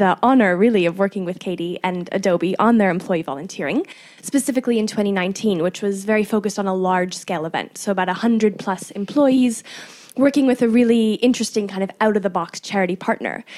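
Speaking at a fairly quick pace, a woman with an unremarkable speaking voice keeps a medium pitch and ordinary pitch variation. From Canada. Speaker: podcast host and producer. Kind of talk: interview.

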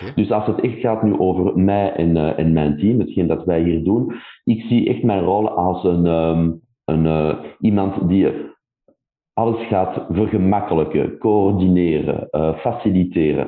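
A man speaks very slowly in a very deep, low voice with ordinary pitch variation. His loudness stays very even. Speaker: tech company country director. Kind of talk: interview. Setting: remote call.

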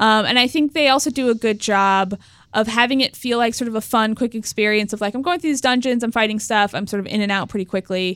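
In a dry, close recording with no echo, a woman with a fairly high pitch talks at a very fast pace with ordinary pitch variation. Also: very clean recording, silent background. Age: 20s. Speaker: video game journalist. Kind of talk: casual chat.

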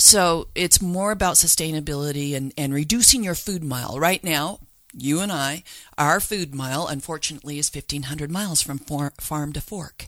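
A woman with an American accent speaks at a very deep, low pitch with ordinary pitch variation. The recording is very clean, with a silent background. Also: moderate pace. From Utah, Salt Lake City. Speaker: author and backyard chicken expert. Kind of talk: interview.

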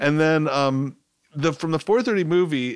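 A man's ordinary speaking voice at a moderate pace with ordinary pitch variation, in a very clean recording with a silent background. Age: 50s. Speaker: film writer. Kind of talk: casual chat.

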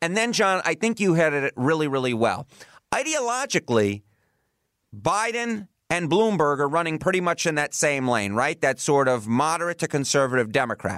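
In a New York accent, a man speaks at a moderate pace with fairly high pitch, very wide pitch swings and very even loudness, in a dry, close sound with no echo. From New York City. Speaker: podcast host. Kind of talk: political discussion podcast.

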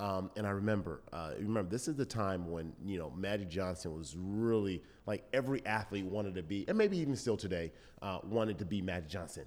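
Using an unremarkable speaking voice, a man with an American accent talks at a fairly quick pace in a fairly low pitch, with ordinary pitch variation. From Southern California. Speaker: former football player and TV host. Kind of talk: interview.

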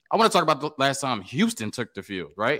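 The recording is very clean against a silent background. The man's voice carries vocal fry. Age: 30s. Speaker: college football podcaster. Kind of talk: casual chat.

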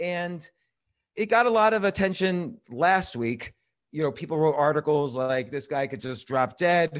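With an ordinary speaking voice and an American accent, a man speaks at a fairly slow pace and fairly high pitch, with lively intonation, over a quiet background. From New York City. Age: 50s. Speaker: writer and comedy club owner. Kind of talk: casual chat.

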